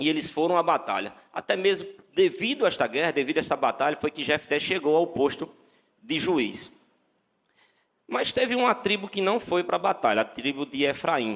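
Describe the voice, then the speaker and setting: Speaking in a northeastern Brazilian accent, a man uses a high pitch with very wide pitch swings. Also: moderate pace. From Brazil, Northeast. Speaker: lay preacher. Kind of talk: sermon. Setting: church. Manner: halting, many repeated words.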